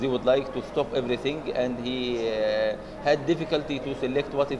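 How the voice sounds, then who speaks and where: A man talks at a moderate pace with fairly even intonation. Noticeable background noise is present. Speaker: interviewee. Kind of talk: interview answer. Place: hall.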